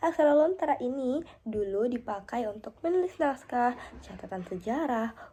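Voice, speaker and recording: A woman's high voice in a dark, mellow tone, at a moderate pace with very wide pitch swings. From South Sulawesi, Indonesia (Pangkep). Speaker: university student. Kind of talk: class assignment presentation. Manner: halting with fillers.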